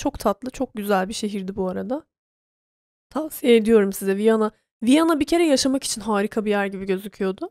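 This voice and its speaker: This woman has a fairly high pitch, an animated tone and ordinary pitch variation at a moderate pace. The sound is dry and close, with no echo. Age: 30s. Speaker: podcast host. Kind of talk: casual monologue.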